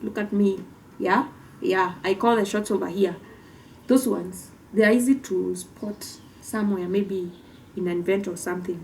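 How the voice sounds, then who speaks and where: A woman with a Kenyan accent at a moderate pace, her intonation fairly even, with long, frequent pauses. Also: medium pitch for a woman. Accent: Kimbere (Mbeere) Kenyan. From Kenya, Mbeere (Embu County). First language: Kimbere (Mbeere). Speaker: podcast co-host. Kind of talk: casual explainer talk.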